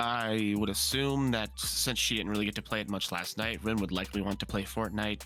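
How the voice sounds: The speaker is a man with lively intonation. Vocal fry runs through his voice.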